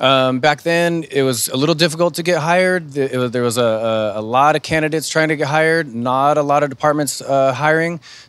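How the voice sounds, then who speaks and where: A man talks at a fairly quick pace with hardly any pauses. His pitch is fairly high, and there is noticeable background noise. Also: ordinary pitch variation. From California, Sacramento area. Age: 30s. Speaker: firefighter. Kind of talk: panel talk. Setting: virtual talk show.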